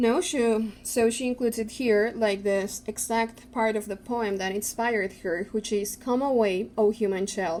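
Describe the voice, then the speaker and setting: Her tone dark and mellow, a woman with a non-native accent speaks at a moderate pace in a fairly high voice with fairly even intonation. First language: not English. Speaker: tarot youtuber. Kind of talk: casual product review.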